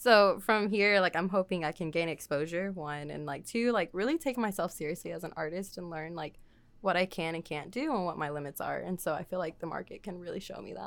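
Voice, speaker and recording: Fairly low-pitched with an American accent, a woman speaks fairly quickly with hardly any pauses, a normal speaking voice and ordinary pitch variation. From Texas, Waco. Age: 20s. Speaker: artist. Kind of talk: casual chat. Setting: studio.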